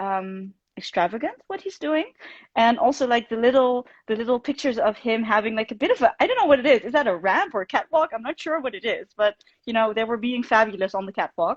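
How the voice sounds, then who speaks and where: With a Dutch accent, a woman talks at a very fast pace and a fairly high pitch. Her intonation is lively, and the sound is dry and close with no echo. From Netherlands. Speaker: fan club host. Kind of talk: casual chat. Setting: Instagram live stream.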